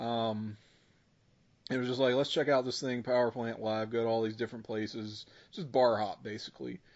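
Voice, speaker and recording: At a moderate pace, a man with a medium pitch speaks in a normal speaking voice, his intonation fairly even. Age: 30s. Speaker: podcast co-host. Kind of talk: casual chat.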